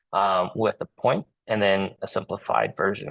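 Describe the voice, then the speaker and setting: The speaker has a Cantonese accent. The pace is fairly slow. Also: man. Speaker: engineer and community representative; Marine veteran. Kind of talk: presentation at a public meeting. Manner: halting, many repetitions and fillers.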